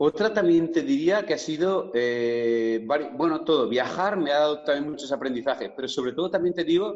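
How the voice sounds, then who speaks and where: Speaking at a moderate pace with lively intonation, a man has an unremarkable speaking voice pitched fairly high. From Spain, Villarreal (Castellón). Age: 40s. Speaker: fitness coach. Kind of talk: interview.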